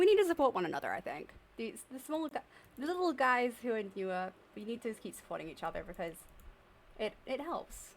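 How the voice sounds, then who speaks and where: A woman's fairly high voice at a fairly quick pace, with very wide pitch swings. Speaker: streamer. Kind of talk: live stream chat.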